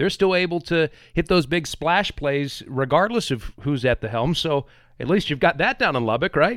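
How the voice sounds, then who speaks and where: In an ordinary speaking voice, a man talks at a moderate pace with a fairly high pitch and lively intonation, the sound dry and close with no echo. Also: very clean recording, silent background. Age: 30s. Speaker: sports podcast host. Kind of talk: casual chat.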